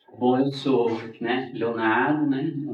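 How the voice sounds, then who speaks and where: Audible room echo surrounds a man speaking fairly slowly with fairly even intonation. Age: 40s. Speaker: capoeira master. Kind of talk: interview. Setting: studio.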